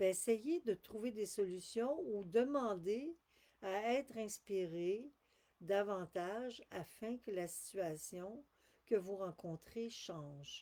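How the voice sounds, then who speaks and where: Very slowly, a woman speaks with a medium pitch, a dark, mellow tone and lively intonation. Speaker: spiritual channeler. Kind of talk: live stream talk. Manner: halting.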